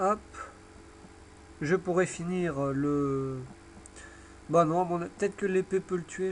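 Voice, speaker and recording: The speech moves at a very slow pace with ordinary pitch variation. Music plays in the background. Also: man. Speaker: gaming video creator. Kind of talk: live gameplay commentary.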